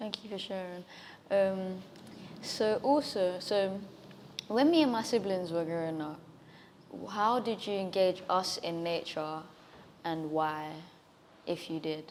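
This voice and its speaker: Quiet and fairly slow, a woman talks. She leaves long, frequent pauses. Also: medium pitch for a woman, ordinary pitch variation. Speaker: nature vlogger. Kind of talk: interview. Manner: quiet, shy.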